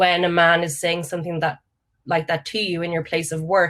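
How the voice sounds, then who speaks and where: A woman with an Irish accent talks at a fairly quick pace in a fairly low pitch. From Ireland, County Mayo. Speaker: panel speaker. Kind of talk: panel discussion.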